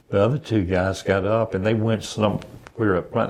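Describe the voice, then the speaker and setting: Quiet surroundings and a man talking at a moderate speed. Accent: Southern US. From US South (Savannah, Georgia). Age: 70s. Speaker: retired veteran, blind resident. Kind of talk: interview conversation. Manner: halting.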